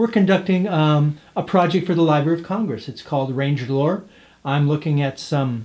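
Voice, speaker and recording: A normal speaking voice with ordinary pitch variation at a moderate pace. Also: man, fairly high pitch for a man. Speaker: folklorist interviewer. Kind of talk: oral history interview questions.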